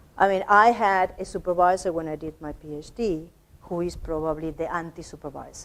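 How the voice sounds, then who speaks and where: A woman speaks with a non-native accent at a fairly quick pace. Her intonation stays fairly even. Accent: noticeable non-native English. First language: not English. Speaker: academic lecturer. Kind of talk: workshop lecture. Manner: halting, many repetitions.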